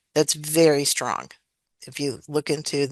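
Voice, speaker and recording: Her voice is very deep and low for a woman. The sound is dry and close, with no echo. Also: quiet background. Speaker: educator and dyscalculia trainer. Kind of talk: webinar presentation.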